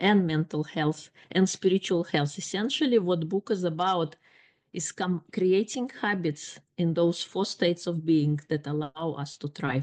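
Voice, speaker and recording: A woman with a non-native accent speaks at a fairly slow pace and fairly low pitch. The background is quiet. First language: not English. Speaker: life coach and author. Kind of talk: podcast interview.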